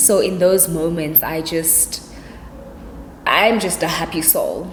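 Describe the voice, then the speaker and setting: A woman with a fairly low pitch speaks in a relaxed tone and fairly even intonation, with audible room echo and noticeable background noise. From South Africa, Cape Town. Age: 20s. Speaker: YouTuber. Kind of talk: casual vlog Q&A. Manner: chatty, relaxed.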